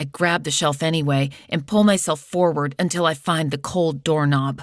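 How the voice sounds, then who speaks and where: A woman with a very deep, low pitch speaks in a dramatic tone at a fairly slow pace, her pitch varying in an ordinary way. The recording is very clean, with a silent background. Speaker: audiobook narrator. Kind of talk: audiobook narration, first-person dramatic excerpt. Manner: tense, urgent, dramatic.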